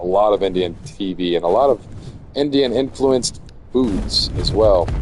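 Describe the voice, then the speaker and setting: Against noticeable background noise, a man with an American accent speaks at a fairly low pitch with ordinary pitch variation. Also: moderate pace. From US, Florida. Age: 30s. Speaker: video game streamer. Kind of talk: casual gameplay livestream commentary. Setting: home livestream on PlayStation 5. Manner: casual, halting with fillers.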